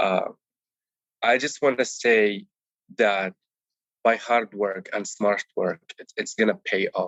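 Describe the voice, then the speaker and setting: His loudness swings widely as the man speaks with long, frequent pauses. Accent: Arabic. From Palestine, village near Bethlehem, West Bank. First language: Arabic. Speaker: Amazon seller, course student. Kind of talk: interview. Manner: animated; some repetitions and self-corrections.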